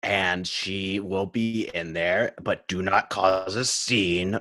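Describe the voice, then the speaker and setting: Using a put-on character voice, a man speaks very slowly in a very deep, low pitch with a flat, monotone delivery. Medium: actual play. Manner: smug, drawn-out.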